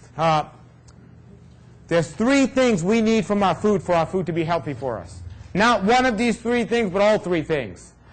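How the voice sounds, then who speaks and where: This man has a New York accent. His voice sits at a high pitch. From New York City. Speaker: raw food health speaker. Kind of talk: talk to an audience. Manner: fast.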